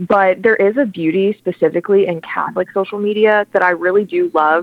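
A woman with a normal speaking voice talks at a fairly quick pace and a medium pitch. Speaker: diocesan communications manager. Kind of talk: radio interview. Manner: cheerful, bubbly, laughs often.

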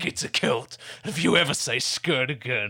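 A man puts on a character voice at medium pitch. He keeps a moderate pace.

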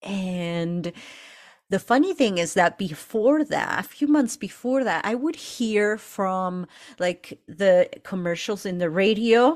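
Speaking very slowly at a medium pitch, a woman uses lively intonation in a very clean recording with a silent background. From Argentina, moved to Utah at eleven. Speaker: life coach. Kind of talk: interview.

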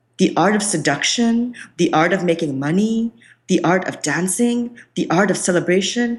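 Somewhat breathy, a woman speaks at a moderate pace against a quiet background. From India, Calcutta. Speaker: author and spiritual coach. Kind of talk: interview.

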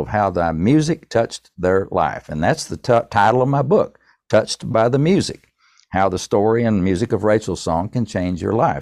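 Against a quiet background, a man with a Tennessee accent uses lively intonation at a fairly low pitch, the sound dry and close with no echo. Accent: Southern US (Tennessee). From US South, East Tennessee. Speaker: songwriter and entrepreneur. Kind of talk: interview.

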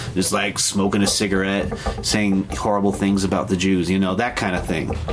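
The speaker has an American accent and keeps a moderate pace. Noticeable background noise sits behind the voice. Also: man. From Grand Junction, Colorado. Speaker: podcast guest. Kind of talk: casual chat.

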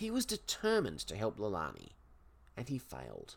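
With an Australian accent, a man delivers his words at a moderate pace. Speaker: podcast host and author. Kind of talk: solo episode review. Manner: casual.

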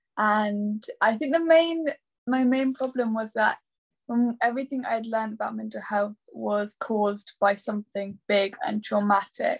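At a fairly slow pace, a woman speaks in a somewhat breathy voice with a fairly high pitch and ordinary pitch variation. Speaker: baker and author. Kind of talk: casual interview.

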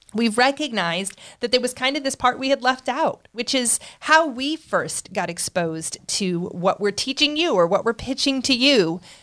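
A woman at a moderate pace in a very clean recording with a silent background. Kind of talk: casual podcast conversation. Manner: animated.

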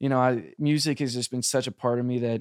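A man's plain, everyday voice at a medium pitch with ordinary pitch variation, in a dry, close sound with no echo and a very clean recording with a silent background. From US, army family, moved around. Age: 20s. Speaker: southern rock musician. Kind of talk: interview. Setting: studio.

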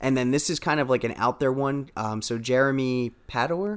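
Here is a man with a normal speaking voice, talking at a moderate pace. The recording is very clean, with a silent background. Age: 30s. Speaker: toy collector. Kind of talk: casual chat.

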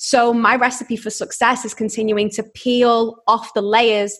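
Speaking at a fairly slow pace, a woman with a British accent has a fairly high pitch. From UK. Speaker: entrepreneur. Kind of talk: interview.

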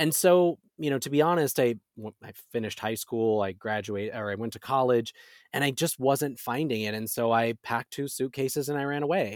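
A man's medium-pitched, ordinary speaking voice with ordinary pitch variation at a fairly quick pace, dry and close with no echo, on a very clean recording with a silent background. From US Pacific Northwest, rural Oregon. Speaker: LGBTQ advocacy spokesperson. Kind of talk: interview.

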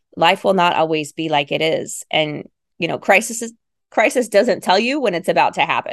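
Against a quiet background, a woman speaks at a medium pitch. Her pitch swings very widely. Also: moderate pace. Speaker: podcast host. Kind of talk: casual interview chat.

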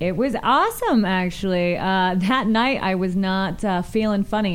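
An ordinary speaking voice from a woman with an American accent, medium in pitch, moderate in pace, with ordinary pitch variation, very even loudness and hardly any pauses. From Kansas City, US Midwest. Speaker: adult film performer and stand-up comedian. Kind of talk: casual interview chat. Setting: studio, radio show.

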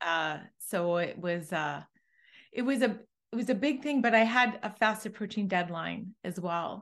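A woman speaks at a medium pitch and a fairly slow pace, her intonation lively against a quiet background. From Canada. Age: 40s. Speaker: author and publishing coach. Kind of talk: interview telling personal story. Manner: animated, chatty, laughs often.

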